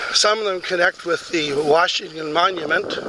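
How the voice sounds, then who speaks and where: A man keeps a moderate pace and fairly even intonation while noticeable background noise plays behind him. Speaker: amateur researcher. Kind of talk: outdoor video walkthrough. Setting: outdoors. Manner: casual, hesitant.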